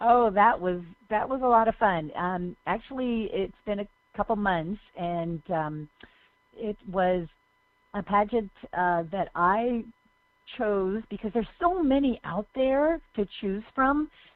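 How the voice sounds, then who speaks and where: Her medium-pitched voice carries lively intonation as the woman speaks at a very slow pace. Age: 60s. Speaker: motivational speaker and author. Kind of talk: radio interview. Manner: halting.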